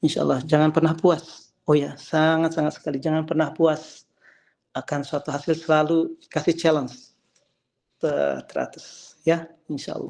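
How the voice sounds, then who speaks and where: A man's fairly high-pitched, flat, monotone delivery at a moderate pace against a quiet background. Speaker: calligrapher and religious teacher. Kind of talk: memorial talk to online gathering. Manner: halting, many fillers and false starts.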